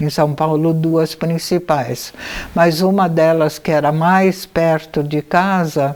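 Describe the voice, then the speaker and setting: A woman's very deep, low voice at a very slow pace, over noticeable background noise. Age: 80s+. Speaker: anthroposophic physician. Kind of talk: biographical memoir talk. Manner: intimate, familiar.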